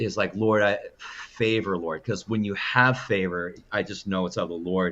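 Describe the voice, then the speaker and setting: Against a quiet background, a man speaks at a fairly low pitch with ordinary pitch variation. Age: 60s. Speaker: minister. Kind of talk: interview conversation. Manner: halting.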